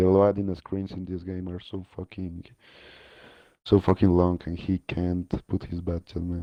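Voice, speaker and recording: A man's very deep, low voice with a non-native accent, flat and monotone, at a fairly slow pace with long, frequent pauses and big swings in loudness. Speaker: esports team player. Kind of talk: post-match interview.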